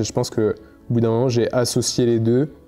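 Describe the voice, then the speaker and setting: With music in the background, a man talks in a medium pitch. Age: 20s. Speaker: photographer and content creator. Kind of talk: interview testimony. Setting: at his home. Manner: hesitant, many fillers and repetitions.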